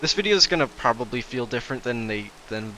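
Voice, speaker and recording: With music in the background, a man speaks at a fairly quick pace and medium pitch, showing ordinary pitch variation. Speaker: gaming YouTuber. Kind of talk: gameplay commentary. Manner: hesitant, many fillers.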